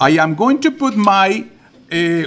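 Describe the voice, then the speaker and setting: A man with a high pitch and an animated tone. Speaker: watercolor art teacher. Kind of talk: live class instruction. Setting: library classroom with about 50 students. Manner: louder than usual.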